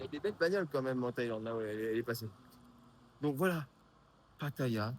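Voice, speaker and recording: A medium-pitched man speaks at a very fast pace with lively intonation. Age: 50s. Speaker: vlogger and app developer. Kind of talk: casual vlog. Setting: outdoors on street at night. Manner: casual, hesitant.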